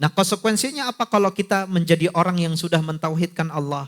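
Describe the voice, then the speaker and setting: In a dry, close sound with no echo, a man talks with a non-native accent. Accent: non-Sundanese accent when speaking Sundanese. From not from Sunda region. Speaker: Islamic preacher. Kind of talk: religious lecture. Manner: conversational, addresses audience directly.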